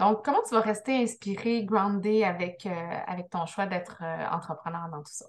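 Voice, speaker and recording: This woman's loudness rises and drops in big swings. She holds a moderate pace. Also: ordinary pitch variation. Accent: Quebec. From Quebec. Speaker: business coach, interview host; podcast host interviewer. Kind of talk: interview. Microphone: video call.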